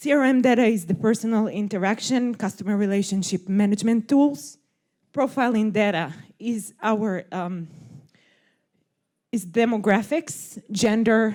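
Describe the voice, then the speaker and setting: With long, frequent pauses, a woman with a fairly high pitch speaks at a moderate pace and with ordinary pitch variation. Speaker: games industry manager. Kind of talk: conference talk. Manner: some hesitations, filler words.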